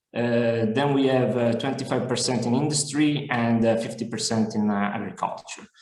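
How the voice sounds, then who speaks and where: A man's medium-pitched voice at a moderate pace, with fairly even intonation and audible room echo. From Italy. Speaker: business development manager. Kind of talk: webinar presentation. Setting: online webinar. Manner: hesitant, many fillers.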